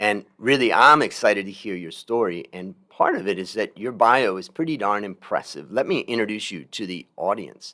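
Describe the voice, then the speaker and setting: A man's booming, raised and projected put-on character voice, fairly low in pitch, with lively intonation at a moderate pace on a very clean recording with a silent background. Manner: warm, energetic host.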